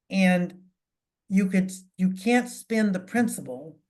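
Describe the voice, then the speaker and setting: A somewhat breathy woman's voice of medium pitch with ordinary pitch variation. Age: 70s. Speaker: financial advisor. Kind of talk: town hall talk. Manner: halting, many fillers.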